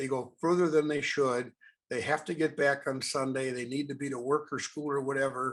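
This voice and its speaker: Against a quiet background, a man with an American accent talks at a moderate pace in a fairly high pitch and a monotone, flat intonation. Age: 80s+. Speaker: wilderness canoeist and presenter. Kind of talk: presentation.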